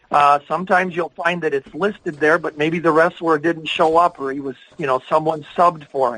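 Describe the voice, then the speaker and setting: A plain, everyday voice moves at a fairly quick pace with hardly any pauses. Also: man, fairly high pitch for a man. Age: 60s. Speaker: wrestling historian and author. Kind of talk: podcast conversation.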